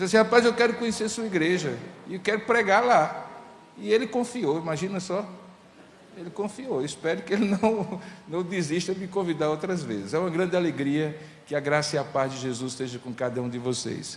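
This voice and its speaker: A high-pitched man talks at a fairly quick pace with very wide pitch swings. Audible room echo and noticeable background noise surround him. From Paraíba, Brazilian Northeast. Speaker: pastor. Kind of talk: sermon.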